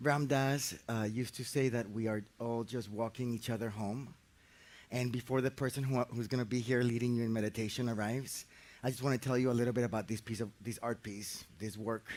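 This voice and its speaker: A man talks at medium pitch. His intonation is monotone and flat. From Colombia, Medellin. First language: Spanish. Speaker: architect and facilitator. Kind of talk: guided meditation introduction talk. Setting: outdoors in a park. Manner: halting, repeats words.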